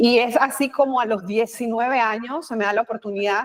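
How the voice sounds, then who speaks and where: Speaking at a fairly quick pace in a Panamanian accent, a woman uses a fairly high pitch with ordinary pitch variation. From Panama, Colón (Atlantic side). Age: 50s. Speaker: communication expert, former news presenter and politician. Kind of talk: interview.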